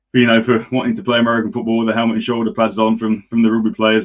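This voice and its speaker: This man speaks with an East Midlands accent. His pitch is medium and his intonation is monotone and flat. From England, Nottingham. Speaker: podcast host. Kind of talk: casual chat.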